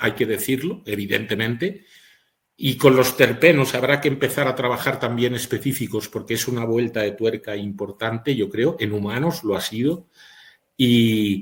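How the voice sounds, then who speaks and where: The man's voice is somewhat breathy with ordinary pitch variation. His pace is moderate. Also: medium pitch for a man. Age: 60s. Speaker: physician. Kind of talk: webinar lecture.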